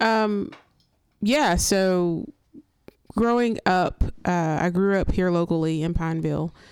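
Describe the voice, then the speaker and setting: A woman with a medium pitch speaks very slowly, with ordinary pitch variation and long, frequent pauses. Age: 30s. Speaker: nonprofit ministry worker. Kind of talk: casual chat.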